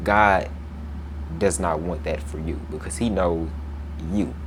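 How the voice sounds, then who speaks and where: There is noticeable background noise and audible room echo as a man speaks at a fairly slow pace. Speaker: Bible teacher. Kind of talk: Bible lesson with scripture reading. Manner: casual, conversational; stumbles over words.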